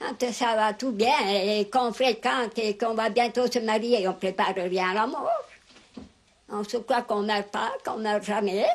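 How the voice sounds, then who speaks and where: Against noticeable background noise, a woman with a fairly high pitch talks fairly slowly. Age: 80s+. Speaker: elderly rural interviewee. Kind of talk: interview. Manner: halting.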